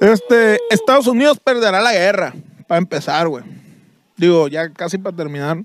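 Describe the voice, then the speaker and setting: A man with a high-pitched voice speaks at a moderate pace with lively intonation. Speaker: comedy podcast co-host. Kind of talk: casual comedic banter; reading aloud.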